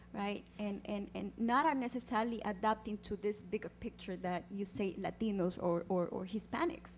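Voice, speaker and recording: A woman with an Andean accent talks at a moderate pace with hardly any pauses. Her medium pitch rises and falls in an ordinary way. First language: Quechua. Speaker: community organizer, audience questioner. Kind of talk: audience question at panel event. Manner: halting, many fillers.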